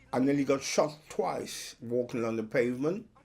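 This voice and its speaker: Over music in the background, a man speaks at a fairly slow pace and medium pitch. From Trinidad and Tobago, then South London. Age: 70s. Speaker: soul singer. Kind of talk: interview testimony.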